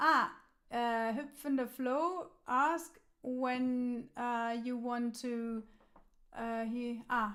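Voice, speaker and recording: With a German accent, a woman speaks very slowly in a high voice, keeping her intonation fairly even. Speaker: musician and live stream host. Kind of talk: casual chat. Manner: halting.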